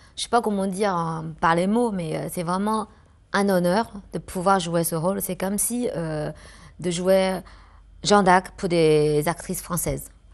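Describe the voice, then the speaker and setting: Against a quiet background, the speaker goes at a fairly slow pace with fairly even intonation. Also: woman, fairly low pitch for a woman. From China. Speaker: actress. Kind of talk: interview answer.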